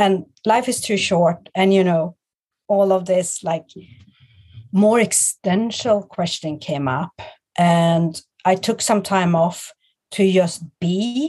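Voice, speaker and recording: A woman's medium-pitched voice in a Swedish accent, dark and mellow in tone, with ordinary pitch variation, a very slow pace, and long, frequent pauses. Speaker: guest, clothing stylist and business owner. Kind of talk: casual interview chat. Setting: video call.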